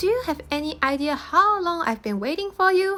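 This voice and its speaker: At a moderate pace, a squeaky put-on character voice sits at an extremely high pitch. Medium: read story. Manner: fussy, indignant.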